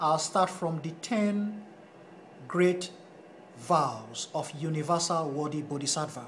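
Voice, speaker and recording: A man with a Nigerian accent speaks at a fairly high pitch and a very slow pace, with ordinary pitch variation. His long, frequent pauses fall within audible room echo. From Nigeria (Edo, Esan-speaking). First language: Esan. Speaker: Buddhist studies lecturer. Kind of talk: lecture. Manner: halting.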